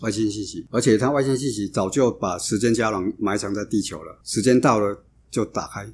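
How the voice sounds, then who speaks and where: His pitch shows ordinary variation. The male voice is fairly low. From Taiwan, Changhua and Kaohsiung. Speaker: associate professor. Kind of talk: interview. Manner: halting.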